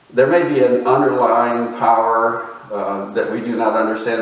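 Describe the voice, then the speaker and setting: A man's voice comes with clear background noise and some audible echo from the room. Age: 60s. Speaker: video essayist. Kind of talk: reflective lecture. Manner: unhurried, with fillers.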